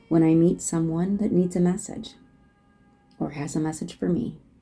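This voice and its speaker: A woman speaks at a moderate pace in a fairly low pitch, with ordinary pitch variation. Music plays in the background. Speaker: life transition consultant and speaker. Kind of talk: casual chat.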